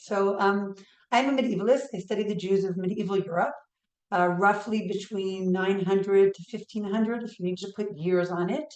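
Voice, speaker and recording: In a New York accent, a woman speaks at a moderate pace and medium pitch with fairly even intonation. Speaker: history professor. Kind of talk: lecture.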